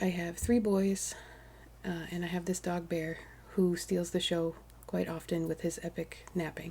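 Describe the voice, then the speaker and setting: A woman's somewhat breathy voice at a moderate pace, fairly low in pitch with a dark, mellow tone and fairly even intonation. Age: 40s. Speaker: crafting vlogger. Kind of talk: casual vlog chat. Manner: hesitant, many fillers.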